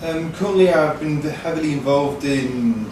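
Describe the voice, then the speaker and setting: Noticeable background noise and audible room echo around speech at a moderate pace. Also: man. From northern England, near Manchester. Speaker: intern. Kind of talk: interview.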